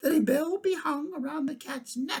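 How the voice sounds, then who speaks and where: Someone puts on a high-pitched character voice at a moderate pace. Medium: read story.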